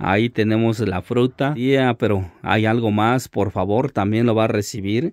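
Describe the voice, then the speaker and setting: A man with a plain, everyday voice, pitched in the medium range. He speaks at a fairly slow pace with fairly even intonation. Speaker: vlogger. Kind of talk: vlog narration and interview. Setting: outdoors.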